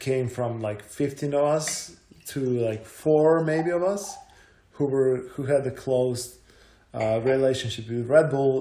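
A medium-pitched man with a Croatian accent, fairly slow, with ordinary pitch movement, audible room echo and noticeable background noise. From Croatia, Zagreb. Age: 30s. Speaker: mountain bike athlete and content creator. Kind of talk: casual chat.

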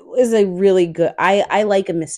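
The sound of a woman's voice is dry and close, with no echo. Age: 30s. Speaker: podcast co-host. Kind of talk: casual chat.

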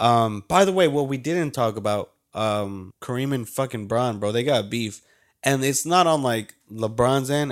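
Over a very clean recording with a silent background, a man with a normal speaking voice speaks fairly slowly at medium pitch with ordinary pitch variation. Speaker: podcast co-host. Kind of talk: casual chat.

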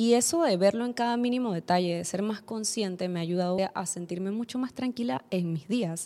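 Medium in pitch, a woman's voice has a dark, mellow tone. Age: 20s. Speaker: podcast host. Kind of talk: solo personal development monologue.

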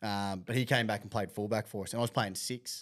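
A man's medium-pitched voice with an Australian accent, recorded very cleanly against a silent background. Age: 30s. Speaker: podcast host, amateur rugby league player. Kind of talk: casual chat.

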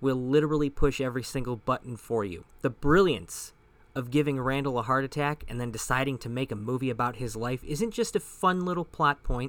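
This man talks at a fairly quick pace. His pitch is medium, with ordinary variation. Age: 30s. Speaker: podcast host and film reviewer. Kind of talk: film review monologue.

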